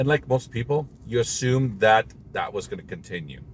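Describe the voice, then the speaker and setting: With vocal fry, a man talks at a fairly slow pace. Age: 60s. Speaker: motivational vlogger. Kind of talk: personal monologue to camera.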